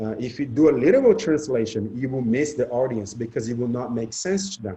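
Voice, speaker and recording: A man talking at a fairly quick pace, somewhat breathy, with a dark, mellow tone. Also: medium pitch for a man, ordinary pitch variation. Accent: Portuguese. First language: Portuguese. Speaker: spiritual discussion panelist. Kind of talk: casual group discussion.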